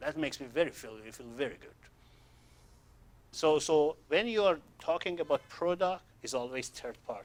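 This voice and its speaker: Speaking at a moderate pace with a non-native accent, a man uses a fairly high pitch, big swings in loudness and long, frequent pauses. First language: not English. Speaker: sales trainer. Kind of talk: training seminar. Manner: halting.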